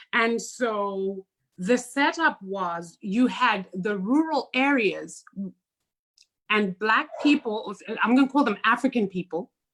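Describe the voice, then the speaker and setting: A woman with a Zimbabwean accent, fairly high pitch, lively intonation and a very slow pace. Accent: non-American accent, Zimbabwean. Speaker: podcast co-host. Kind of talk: casual chat.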